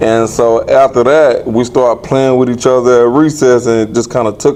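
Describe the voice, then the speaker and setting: A man in a Southern US accent talks at a moderate pace with hardly any pauses and very even loudness, over noticeable background noise. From Aiken, South Carolina. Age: 40s. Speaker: former boxer. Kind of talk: interview.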